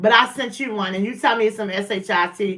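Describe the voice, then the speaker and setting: Loud and at a fairly quick pace, a woman with a fairly high pitch speaks in a bright, sharp tone with ordinary pitch variation. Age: 40s. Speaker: livestream host. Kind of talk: casual livestream chat. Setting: at home, livestream. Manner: animated.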